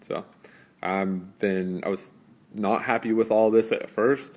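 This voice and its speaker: A man speaks with monotone, flat intonation. The recording is very clean, with a silent background. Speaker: car enthusiast reviewing engine management. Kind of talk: product review. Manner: fast; casual with many fillers.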